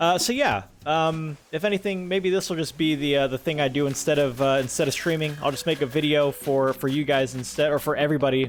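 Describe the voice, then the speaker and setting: Very fast speech from a man with a fairly high pitch and ordinary pitch variation comes through noticeable background noise. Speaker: gaming YouTuber and streamer. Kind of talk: casual gameplay commentary. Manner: relaxed, chill; halting, many fillers.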